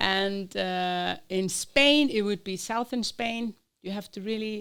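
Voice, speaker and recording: A woman with an Icelandic accent speaks very slowly at a medium pitch with ordinary pitch variation. The recording is very clean, with a silent background. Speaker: Spanish teacher. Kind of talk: interview. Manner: hesitant, with fillers.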